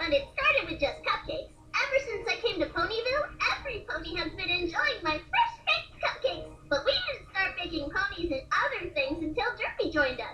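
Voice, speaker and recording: In a put-on character voice, a female-sounding speaker goes squeaky and bubbly at an extremely high pitch, with very wide pitch swings and a fairly quick pace over clear background noise. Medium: read story. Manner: bubbly, jubilant.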